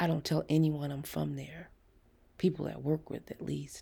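A woman puts on a character voice, low in pitch with a dark, mellow tone, vocal fry, a husky, rough edge, and little pitch movement. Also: moderate pace.

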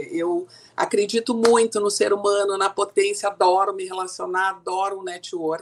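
A woman with an ordinary speaking voice, medium pitch and fairly even intonation, at a moderate pace. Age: 60s. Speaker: communication coach and speaker. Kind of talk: interview.

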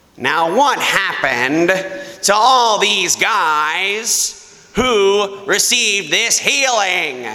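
A man's put-on character voice, nasal and high-pitched, very slow, with audible echo.

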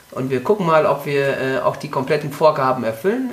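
Against noticeable background noise, a man talks at a moderate pace. His pitch is fairly high with ordinary variation. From Mecklenburg-Vorpommern, Germany. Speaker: triathlon coach and health trainer. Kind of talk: interview. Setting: studio, in front of the mic. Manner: frequent hesitations (äh, ähm).

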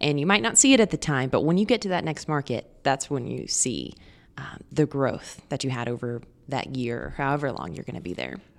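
A woman with an American accent, very deep and low in pitch, with vocal fry, lively intonation and a fairly quick pace, in a very clean recording with a silent background. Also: big swings in loudness. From Oklahoma City suburbs, Oklahoma. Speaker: TV news anchor. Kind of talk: casual interview.

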